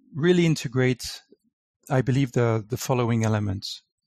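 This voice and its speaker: With lively intonation, a man is talking. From France. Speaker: wellness consultant. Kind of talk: interview. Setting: online call. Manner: hesitant, many fillers.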